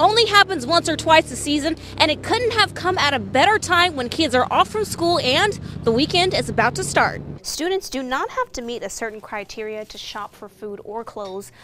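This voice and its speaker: Against noticeable background noise, a woman with a high pitch uses a raised, projected voice at a moderate pace, her pitch swinging very widely and her loudness shifting in big swings. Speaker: TV news reporter and anchor. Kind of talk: broadcast news reporter package voice-over.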